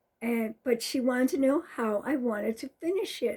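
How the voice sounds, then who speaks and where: A woman with a high pitch and a dark, mellow tone speaks at a fairly slow pace. Her intonation is lively in a very clean recording with a silent background. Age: 70s. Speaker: stitching vlogger. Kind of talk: casual show-and-tell vlog. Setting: home craft room.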